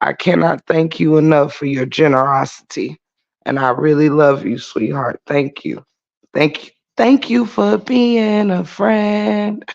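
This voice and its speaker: A quiet man's voice, fairly high in pitch, at a fairly slow pace with very wide pitch swings. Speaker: YouTube livestreamer. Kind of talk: casual livestream chat. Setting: garage, early morning livestream. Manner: quiet, holding volume down.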